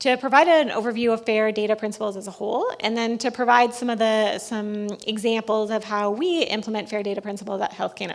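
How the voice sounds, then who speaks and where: Noticeable background noise accompanies speech at a very fast pace, with fairly even intonation and hardly any pauses. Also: woman, fairly high pitch for a woman. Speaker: government data advisor, former researcher. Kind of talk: conference presentation.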